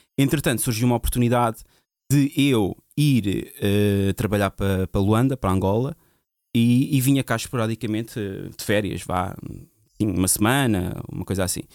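A man's medium-pitched voice with ordinary pitch variation and long, frequent pauses, in a very clean, dry, close recording with a silent background and no echo. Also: moderate pace. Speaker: DJ. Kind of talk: casual chat.

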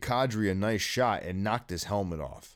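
On a very clean recording with a silent background, a man with an American accent speaks in a normal speaking voice at a fairly low pitch with ordinary pitch variation. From US Midwest (East Lansing, Michigan). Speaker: podcast host. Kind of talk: casual chat.

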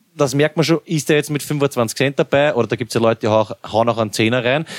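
With music in the background, a man talks very fast in a fairly high voice with ordinary pitch variation, the sound dry and close with no echo. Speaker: podcast host. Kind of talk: casual chat.

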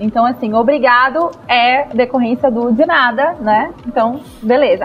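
Amid noticeable background noise, a woman with a Carioca accent speaks at a high pitch and a fairly slow pace. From Rio de Janeiro, Zona Norte. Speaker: podcast panelist. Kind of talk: casual chat.

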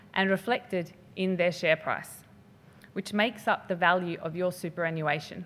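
A woman at a medium pitch, with an Australian accent and a moderate pace. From Western Australia (Perth). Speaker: finance researcher. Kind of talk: lecture.

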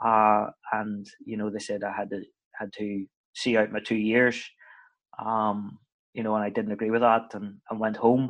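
Against a quiet background, a man with a Northern Irish accent speaks at a moderate pace in a fairly low, monotone, flat voice, leaving long, frequent pauses. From Northern Ireland. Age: 30s. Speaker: football head coach. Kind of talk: casual interview chat. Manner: chatty, hesitant with repeated words.

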